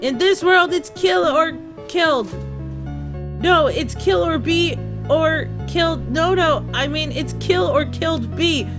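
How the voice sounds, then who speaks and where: A put-on character voice with high pitch speaks at a fairly slow pace. Loud music plays in the background. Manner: creepy, taunting.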